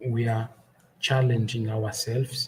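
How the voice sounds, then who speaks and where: A somewhat breathy male voice at a fairly slow pace. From Angola. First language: Portuguese. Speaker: podcaster. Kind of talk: testimony.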